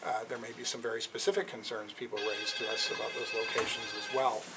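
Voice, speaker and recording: A man talks at a fairly quick pace with a Canadian accent. Noticeable background noise runs underneath. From western Canada. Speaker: company executive. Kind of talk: public Q&A. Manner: halting, many fillers.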